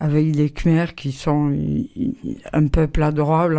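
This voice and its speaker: Very slow and very deep, a woman's low-pitched voice has a dark, mellow tone and ordinary pitch variation. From southwest France, Bergerac. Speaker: artist and printmaker, retired teacher. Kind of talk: interview. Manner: halting.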